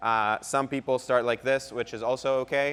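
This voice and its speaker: A man speaks with a non-native accent. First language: not English. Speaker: pickleball pro and co-host. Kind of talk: tutorial. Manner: halting.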